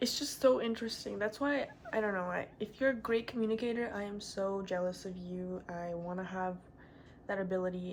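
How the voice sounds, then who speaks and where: A woman's medium-pitched voice at a moderate pace. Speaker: vlogger. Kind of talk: casual vlog talk. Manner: monotone, low energy; halting with pauses.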